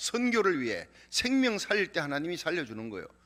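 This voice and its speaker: Bright and sharp in tone, a man speaks at a high pitch and a moderate pace. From Korea, Gyeongsang region. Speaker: pastor. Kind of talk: sermon.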